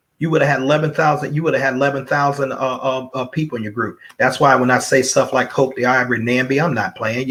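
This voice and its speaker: Hardly pausing, a man talks at a very fast pace. His pitch is medium. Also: fairly even intonation. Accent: Alabama. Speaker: network marketing speaker. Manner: repetitive, rambling.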